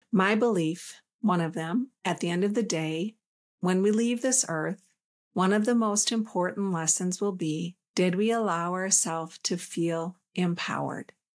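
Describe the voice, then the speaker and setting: At a fairly slow pace, a woman talks in an ordinary speaking voice with a medium pitch and ordinary pitch variation. The recording is very clean, with a silent background. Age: 50s. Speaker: spiritual podcast host and coach. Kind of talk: solo talk on relationships and spirituality. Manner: calm.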